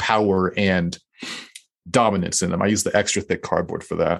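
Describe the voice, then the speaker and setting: This man has an ordinary speaking voice. He speaks fairly quickly at a fairly low pitch. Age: young. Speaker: cardboard artist and social media creator. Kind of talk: casual interview.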